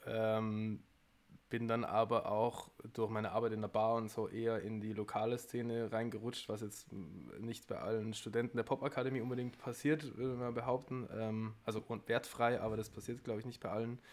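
At a moderate pace, a man talks in a monotone, flat intonation. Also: medium pitch for a man. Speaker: musician. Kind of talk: casual chat.

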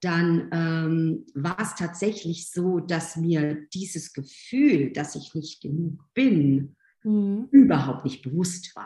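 A somewhat breathy woman's voice, fairly low in pitch with a dark, mellow tone, lively intonation and a very slow pace. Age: 50s. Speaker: physiotherapist and spiritual coach. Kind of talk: interview conversation.

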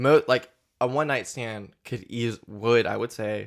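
A man's unremarkable speaking voice at medium pitch, on a very clean recording with a silent background. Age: 20s. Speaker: podcast host. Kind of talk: casual chat.

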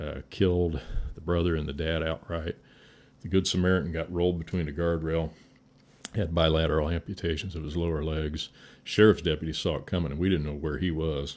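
The speaker has an Indiana accent and a monotone, flat intonation at a fairly quick pace. The recording is very clean, with a silent background. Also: man, very deep, low pitch for a man. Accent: Midwestern US (Indiana). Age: 60s. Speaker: firefighter. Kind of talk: casual chat.

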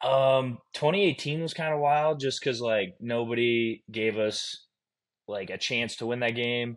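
Against a quiet background, a man with an ordinary speaking voice talks fairly slowly at medium pitch with ordinary pitch variation. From Iowa. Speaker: pro football player. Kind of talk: casual chat.

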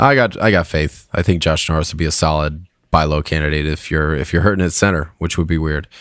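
Very deep and low, a man's voice races along at a very fast pace with hardly any pauses. The recording is very clean, with a silent background. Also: fairly even intonation. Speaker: fantasy hockey podcast host. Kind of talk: casual chat.

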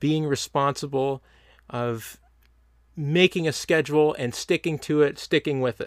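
A man speaks at a fairly slow pace and fairly high pitch with fairly even intonation. The recording is very clean with a silent background and a dry, close sound with no echo. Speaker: podcast host. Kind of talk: casual monologue. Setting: sitting on the ground with a mic and laptop. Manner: halting, many ums and ahs.

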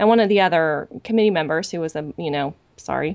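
Here is a woman with an ordinary speaking voice. She talks at a fairly quick pace with ordinary pitch variation. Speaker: podcast host. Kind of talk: casual podcast discussion.

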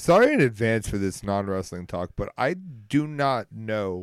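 In an unremarkable speaking voice, a man talks at fairly low pitch with lively intonation on a very clean recording with a silent background. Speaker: co-host of wrestling podcast. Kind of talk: casual banter.

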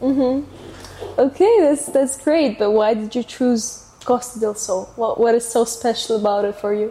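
A woman's high voice in a Russian accent, fairly slow with hardly any pauses and ordinary pitch variation, against noticeable background noise. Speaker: podcast host. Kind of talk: casual interview.

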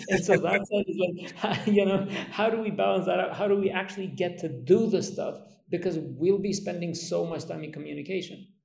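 A man's high-pitched voice with fairly even intonation and audible room echo. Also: moderate pace. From Kosovo. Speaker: podcast host. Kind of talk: interview.

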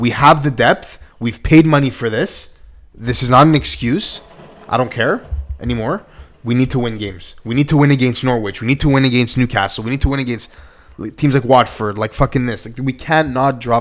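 This man has an unremarkable speaking voice, medium in pitch with ordinary pitch variation, and he talks at a fairly quick pace. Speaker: podcast host. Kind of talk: casual sports podcast discussion.

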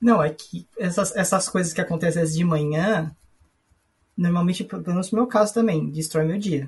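Speaking at a moderate pace, a man with a high voice shows ordinary pitch variation. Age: 30s. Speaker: podcast guest with ADHD. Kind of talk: casual chat.

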